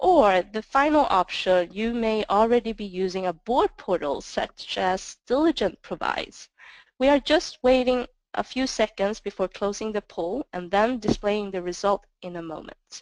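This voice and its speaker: A woman speaks with a non-native accent in a fairly high pitch, with lively intonation. Her pace is moderate, and the sound is dry and close, with no echo. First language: not English. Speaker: sales manager presenting. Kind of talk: webinar presentation. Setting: webinar.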